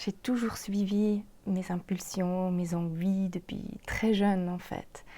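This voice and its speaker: Somewhat breathy and dark, mellow in tone, a woman with a Swiss German accent speaks at a very slow pace in a medium pitch with monotone, flat intonation. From German-speaking Switzerland. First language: Swiss German (speaking French). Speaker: podcast host, makeup artist and life coach. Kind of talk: podcast monologue, self-introduction.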